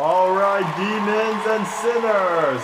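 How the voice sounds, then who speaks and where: Noticeable background noise surrounds a man speaking at a very slow pace. His pitch is high. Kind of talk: stand-up storytelling with character voices. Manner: animated, comedic, doing exaggerated grandfather voice.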